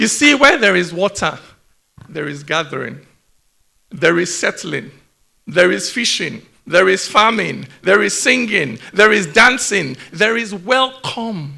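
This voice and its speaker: In a raised, projected voice, a man speaks at a fairly slow pace with a high pitch, a bright, sharp tone, and very wide pitch swings. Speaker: poet. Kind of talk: spoken word performance.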